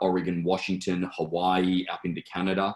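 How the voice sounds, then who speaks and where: A man's very deep, low-pitched voice with an Australian accent. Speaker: auction company executive. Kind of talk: interview. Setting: video call. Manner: many fillers and restarts.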